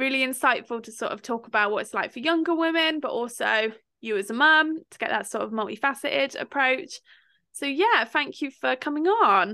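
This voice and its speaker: A woman with a high pitch and a bright, sharp tone projects a raised voice at a moderate pace over a quiet background. Her intonation is lively, and her loudness swings widely. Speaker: podcast host. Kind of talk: casual chat.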